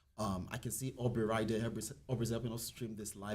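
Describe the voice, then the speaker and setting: Very fast, somewhat breathy speech with ordinary pitch variation and audible room echo. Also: man. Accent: non-native. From outside the US. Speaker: company representative. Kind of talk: public meeting remarks.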